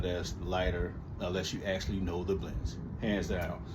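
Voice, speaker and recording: Audible room echo surrounds a man as he speaks. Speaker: lawn care hobbyist vlogger. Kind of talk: casual chat. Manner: halting, many fillers.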